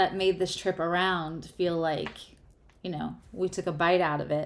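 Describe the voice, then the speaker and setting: A woman speaks at medium pitch with an American accent. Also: very clean recording, silent background. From US Northeast, New York. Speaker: tarot reader and astrologer. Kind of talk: live tarot reading. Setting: livestream. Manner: slow; careful, deliberate.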